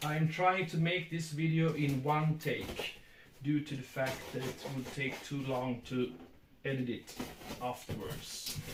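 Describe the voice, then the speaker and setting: A man's fairly high voice with a Swedish accent, fairly even intonation and a fairly slow pace, with audible room echo. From Sweden. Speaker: book collector. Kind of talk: casual unboxing video. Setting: at home, filmed by his son. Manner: halting.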